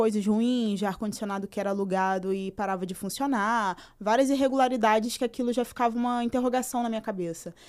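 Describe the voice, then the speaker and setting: A woman talks in a normal speaking voice at a fairly quick pace, her pitch fairly high with ordinary variation. The recording is very clean, with a silent background. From São Gonçalo, Rio de Janeiro, Brazil. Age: 20s. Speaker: activist and social scientist. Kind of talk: podcast interview.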